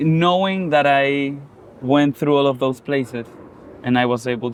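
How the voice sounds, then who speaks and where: Against noticeable background noise, a man of medium pitch talks at a fairly slow pace with ordinary pitch variation. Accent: Spanish. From Chile. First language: Spanish. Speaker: musician. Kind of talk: casual interview conversation. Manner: meandering, halting.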